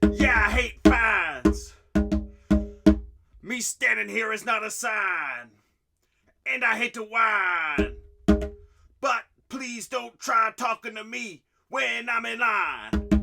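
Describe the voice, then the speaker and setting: Over loud background music, a raspy, fairly high put-on character voice crawls along at a very slow pace with long, frequent pauses. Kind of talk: comedic slam poetry performance. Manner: grumpy, complaining.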